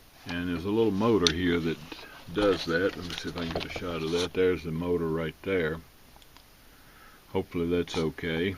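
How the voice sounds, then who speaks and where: Over noticeable background noise, a man with a very deep, low pitch talks at a fairly quick pace in a monotone, flat way, broken by long, frequent pauses. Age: 80s+. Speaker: radio restorer and car hobbyist. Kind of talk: tutorial. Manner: casual with many fillers.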